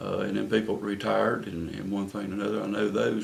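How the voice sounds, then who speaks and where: Here a man speaks with a North Carolina accent. Noticeable background noise and audible room echo fill the recording. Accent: Southern US (North Carolina). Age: 60s. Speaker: city council candidate. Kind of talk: interview. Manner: halting, many fillers and repeats.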